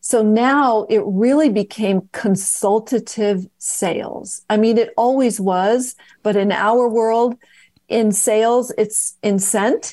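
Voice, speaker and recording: A woman with a West Coast American accent speaks very slowly in a dark, mellow tone, her loudness very even against a quiet background. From US West Coast. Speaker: fragrance company founder. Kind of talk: interview.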